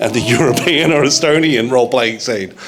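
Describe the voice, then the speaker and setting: A man's medium-pitched voice at a fairly quick pace, with ordinary pitch variation and noticeable background noise. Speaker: audience member. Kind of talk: audience Q&A. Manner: loud.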